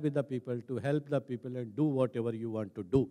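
Against a quiet background, a man speaks at a very fast pace with ordinary pitch variation. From India, Rajasthan village. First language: Hindi. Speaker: senior civil servant; speaker. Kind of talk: talk; public talk, personal story. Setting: stage with audience. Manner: hesitant, frequent fillers. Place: stage. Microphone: handheld.

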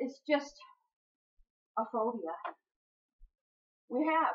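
The voice has a slightly husky edge and ordinary pitch variation. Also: woman.

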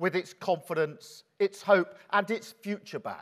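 The background is quiet. A man speaks at a high pitch with ordinary pitch variation. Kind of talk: keynote speech. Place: hall.

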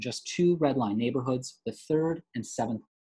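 Lively intonation from a somewhat breathy man against a quiet background. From western New York (Rochester area); New York. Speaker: schoolteacher and anti-racism presenter; presenter. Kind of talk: lecture-style slide presentation. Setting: video call. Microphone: video call.

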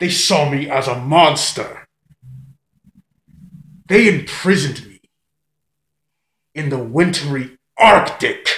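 Putting on a character voice, a man speaks at a fairly slow pace in a raspy, fairly high pitch with ordinary pitch variation and long, frequent pauses. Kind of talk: villain monologue. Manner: gloating, menacing.

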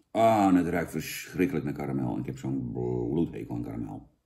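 A man's dark, mellow voice with vocal fry and very wide pitch swings, over a quiet background. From Netherlands. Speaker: product reviewer, comedian. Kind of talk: comedic product review. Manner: animated; halting. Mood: mock disgust, sarcastic. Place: home room. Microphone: camera far.

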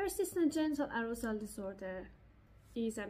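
A woman with a somewhat breathy voice speaks at a moderate pace. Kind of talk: lecture. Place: home room. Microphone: webcam.

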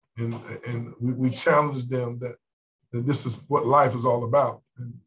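A man speaks in a somewhat breathy voice. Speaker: basketball coach. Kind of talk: press conference answer. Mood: calm, reflective. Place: meeting room. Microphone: video call.

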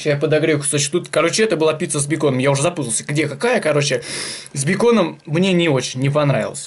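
A man talks at a very fast pace, his pitch moving in an ordinary way. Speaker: food vlogger. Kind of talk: casual vlog chat. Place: kitchen. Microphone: phone near.

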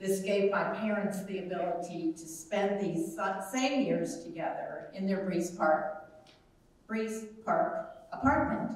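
A woman talks at a fairly slow pace with lively intonation. Strong room echo fills the recording. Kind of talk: eulogy reading. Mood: warm, tender, composed. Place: hall.

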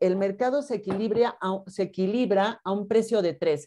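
A woman's dark, mellow tone with ordinary pitch variation against a quiet background. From Mexico. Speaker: university teacher. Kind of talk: online class lecture. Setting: video call. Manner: stern, brusque. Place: home room. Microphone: webcam.

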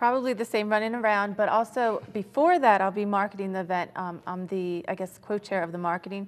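Speaking at a fairly quick pace, a woman keeps her medium pitch and fairly even intonation.

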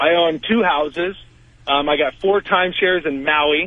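A man speaks at a fairly high pitch. His pitch varies in an ordinary way, and the sound is dry and close with no echo. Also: fairly slow pace.

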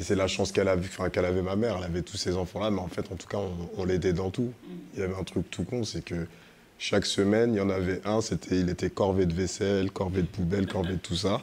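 Very deep and low, a man's voice runs at a very fast pace. His intonation is monotone and flat. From France (Paris suburbs). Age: 40s. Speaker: media co-founder. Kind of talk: live panel conversation. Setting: stage with audience. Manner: casual, slangy.

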